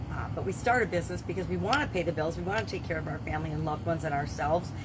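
A woman talking very fast over loud background noise. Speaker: business coach vlogger. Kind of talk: casual vlog chat. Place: home room.

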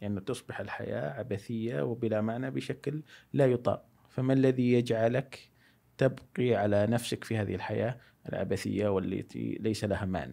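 His voice has a dark, mellow tone. The man speaks at a moderate pace with ordinary pitch variation. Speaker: philosophy enthusiast. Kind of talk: casual chat. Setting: studio. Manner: loud. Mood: calm, reflective. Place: studio. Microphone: studio mic.

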